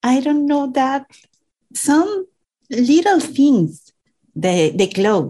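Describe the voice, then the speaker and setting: A woman with a Venezuelan accent speaks at a very slow pace, leaving long, frequent pauses. Her high pitch swings very widely. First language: Spanish. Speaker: immigrant. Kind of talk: interview. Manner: halting.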